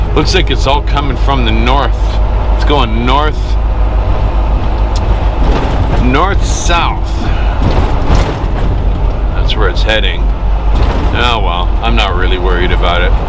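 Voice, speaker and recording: A man at a very slow pace, with long, frequent pauses and music in the background. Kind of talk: casual vlog chat. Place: car. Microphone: camera far.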